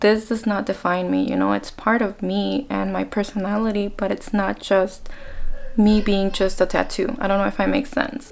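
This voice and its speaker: Someone talks with an American accent at a moderate pace. Noticeable background noise runs underneath. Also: woman. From Mexico (Colima) to age ten, then US (California). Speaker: beauty vlogger. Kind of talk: casual chat while doing makeup.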